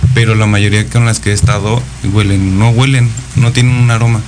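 A man's fairly low voice with fairly even intonation, amid noticeable background noise and audible room echo. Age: 30s. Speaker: guest sharing personal swinger experiences. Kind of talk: casual radio interview.

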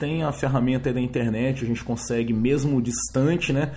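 Here a man talks at a moderate pace and a medium pitch. His voice is somewhat breathy, with fairly even intonation. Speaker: podcast host. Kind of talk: solo monologue podcast. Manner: hesitant, many filler words.

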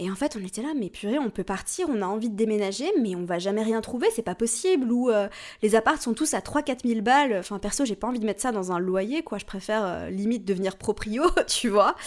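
In a very clean recording with a silent background, a woman speaks fairly quickly in a normal speaking voice, her pitch fairly high. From Switzerland. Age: 30s. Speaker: astrology podcast host. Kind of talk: solo podcast talk. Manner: casual, chatty with fillers.

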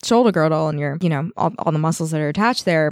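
In a Canadian accent, a woman speaks at a very fast pace with a fairly low pitch and lively intonation, in a very clean recording with a silent background and a dry, close sound with no echo. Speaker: massage therapist. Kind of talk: casual chat. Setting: studio.

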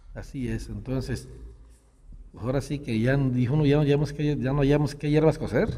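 A man talks at a fairly slow pace with fairly even intonation. His voice is fairly high in pitch, with a dark, mellow tone. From Jalisco, Mexico (rural Acatic). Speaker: local politician and rancher. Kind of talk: interview. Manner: halting.

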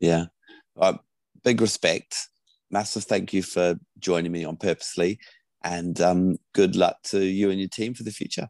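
A man's very deep, low voice at a moderate pace, broken by long, frequent pauses. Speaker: podcast host. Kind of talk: interview.

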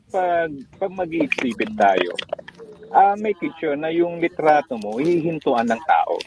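Recorded with a dry, close sound and no echo but noticeable background noise, a man speaks at a high pitch and a fairly slow pace with very wide pitch swings. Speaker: photographer. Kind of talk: interview.

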